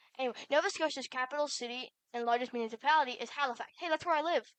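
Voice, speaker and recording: A woman's high voice comes at a very fast pace with fairly even intonation, and the sound is dry and close with no echo. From Canada. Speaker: content creator. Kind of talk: reading aloud. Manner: halting.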